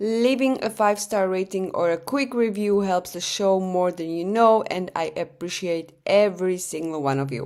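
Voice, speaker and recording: A woman's voice in a non-native accent, medium in pitch, moderate in pace, with ordinary pitch variation. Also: hardly any pauses. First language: not English. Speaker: true crime podcaster. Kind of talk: podcast narration. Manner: casual, chatty; occasional hesitations and self-corrections.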